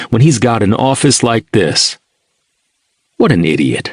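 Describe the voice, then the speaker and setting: A man's vocal fry at a medium pitch and fairly slow pace, very wide pitch swings, and a dry, close sound with no echo. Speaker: audiobook narrator.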